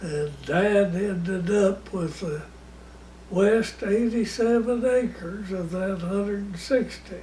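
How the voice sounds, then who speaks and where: Over noticeable background noise, a man with an American accent and a high pitch talks at a very slow pace with ordinary pitch variation. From Oklahoma, USA. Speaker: grandfather telling life stories. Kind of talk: casual storytelling of childhood memories.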